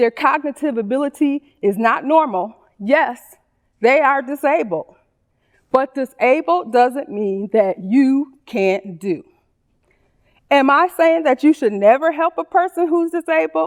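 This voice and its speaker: A woman's high voice swings very widely in pitch at a fairly slow pace, with a dry, close sound with no echo. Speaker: special education teacher. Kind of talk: public speech.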